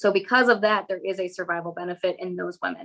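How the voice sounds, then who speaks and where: Her speech comes at a very fast pace. The woman's intonation is fairly even. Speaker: physician, breast cancer specialist. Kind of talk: medical lecture.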